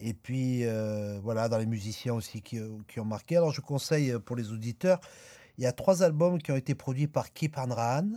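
A man talks at a moderate pace in a medium pitch, with a dark, mellow tone and lively intonation. The recording is very clean, with a silent background. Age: 40s. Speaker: jazz accordionist. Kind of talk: radio interview.

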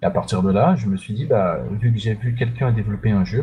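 The voice has a dark, mellow tone and is somewhat breathy. It moves at a fairly quick pace with ordinary pitch variation. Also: man. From Central African Republic. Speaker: indie game developer. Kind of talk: interview.

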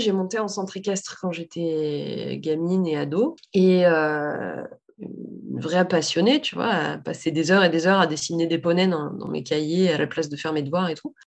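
With hardly any pauses, a woman talks at a moderate pace and fairly low pitch with ordinary pitch variation in a plain, everyday voice. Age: 30s. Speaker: saddle fitter and business owner. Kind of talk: casual interview.

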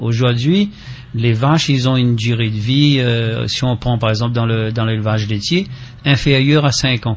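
A man speaks at a medium pitch while noticeable background noise is heard. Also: ordinary pitch variation, moderate pace. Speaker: farmers' association representative. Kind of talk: radio interview.

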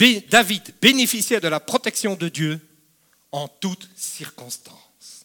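At a very slow pace, a man projects his raised, high-pitched voice with a bright, sharp tone, lively intonation and big swings in loudness. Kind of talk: sermon. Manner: animated, emphatic preacher with repeated phrases and direct appeals to the congregation.

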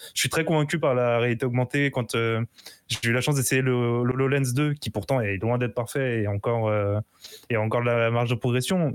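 This is a man with an ordinary speaking voice, pitched in the medium range. He moves along at a fairly quick pace, his intonation fairly even. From Portuguese heritage. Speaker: guest panelist. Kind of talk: casual chat.

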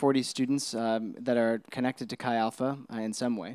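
Moderate-paced speech from a man, a very clean recording with a silent background. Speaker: campus minister. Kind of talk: interview through an interpreter in church. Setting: church service. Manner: hesitant, many ums.

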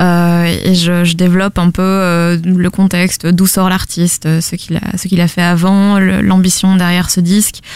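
A woman in a monotone, flat intonation. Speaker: podcast network founder. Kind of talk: interview.

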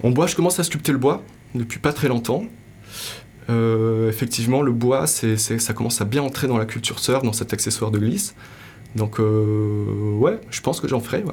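This voice is somewhat breathy, with ordinary pitch variation. It moves at a moderate pace. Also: man, medium pitch for a man. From Morocco. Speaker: sculptor and artist. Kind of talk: interview. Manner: hesitant, many fillers.

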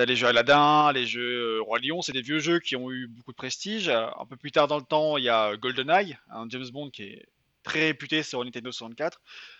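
In a normal speaking voice, a man talks at a moderate pace, his medium pitch showing ordinary variation. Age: 20s. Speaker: writer and video game journalist. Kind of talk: casual interview.

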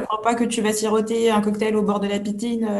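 Somewhat breathy woman's voice, dark and mellow in tone, at a moderate pace. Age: 30s. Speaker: personal development coach. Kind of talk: interview.

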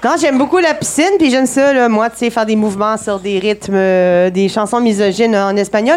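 Against noticeable background noise, a woman with a fairly high pitch and lively intonation speaks at a moderate pace, hardly pausing at all. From Saguenay, Quebec. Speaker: comedy segment performer. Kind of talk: live comedic chronicle.

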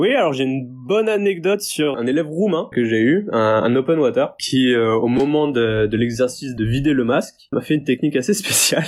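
A man with a normal speaking voice and a fairly high pitch talks at a moderate pace with lively intonation, hardly any pauses and very even loudness. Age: 20s. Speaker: diving instructor. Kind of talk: interview.

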